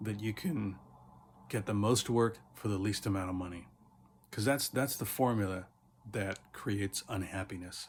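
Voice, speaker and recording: A man's fairly low voice comes across somewhat breathy. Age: 60s. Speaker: teacher. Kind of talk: casual motivational talk.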